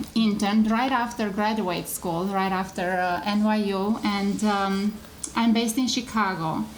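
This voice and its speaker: Speaking in a Romanian accent at a medium pitch, a woman keeps a flat, monotone intonation amid audible room echo and noticeable background noise. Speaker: microfinance executive. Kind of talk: panel presentation. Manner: halting, many fillers.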